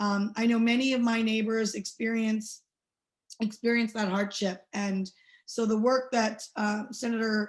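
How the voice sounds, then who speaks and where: Over a quiet background, a somewhat breathy voice speaks at a fairly slow pace in a flat monotone. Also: woman, fairly high pitch for a woman. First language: not English. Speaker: state legislator. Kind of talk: panel update remarks. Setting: webinar. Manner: many fillers.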